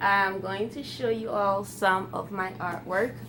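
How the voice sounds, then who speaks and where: A woman with a Ghanaian accent, medium pitch, lively intonation and a fairly slow pace, with audible room echo. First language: Twi. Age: 20s. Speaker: YouTuber. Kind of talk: casual vlog Q&A.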